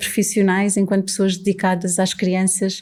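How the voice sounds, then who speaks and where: Medium-pitched female voice with a dark, mellow tone on a very clean recording with a silent background. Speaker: podcast host. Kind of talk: podcast introduction.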